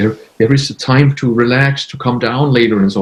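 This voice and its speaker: A man at a medium pitch talks at a fairly quick pace with fairly even intonation. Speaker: intuitive healer. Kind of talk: interview. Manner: halting.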